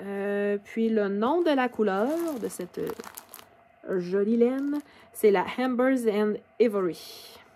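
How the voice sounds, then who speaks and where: A very slow woman's voice with a Quebec accent and fairly high pitch, amid noticeable background noise. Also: ordinary pitch variation. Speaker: knitting podcaster. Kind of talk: casual video podcast. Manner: hesitant, many fillers.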